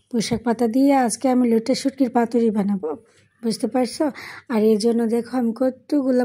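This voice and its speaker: A woman speaks with a dark, mellow tone at a fairly high pitch, somewhat breathy and with fairly even intonation. The recording is very clean with a silent background. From Brahmanbaria, Bangladesh. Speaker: cooking vlogger. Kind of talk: cooking vlog voice-over. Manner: playful, humorous.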